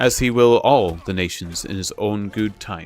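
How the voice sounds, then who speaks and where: Nasal and put-on, this character voice moves at a moderate pace with ordinary pitch variation. Faint music plays in the background. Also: man. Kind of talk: scriptural, pious.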